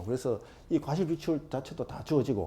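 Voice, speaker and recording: A man speaks in a fairly high voice with a dark, mellow tone and vocal fry. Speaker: exam prep lecturer. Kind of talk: lecture. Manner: fast.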